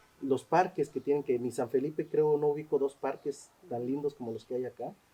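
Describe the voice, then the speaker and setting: Talking at a fairly quick pace with a Mexican accent, a man has a fairly high pitch, a dark, mellow tone and fairly even intonation. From Mexico. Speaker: social anthropologist. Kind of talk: interview. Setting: cultural center. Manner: hesitant, many fillers.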